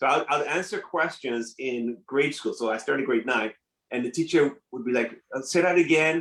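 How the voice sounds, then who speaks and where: Speaking at a moderate pace with a French accent, a man has a fairly high pitch and ordinary pitch variation. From Nigeria and Ottawa, Canada. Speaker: entrepreneur. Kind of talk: interview. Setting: live stream.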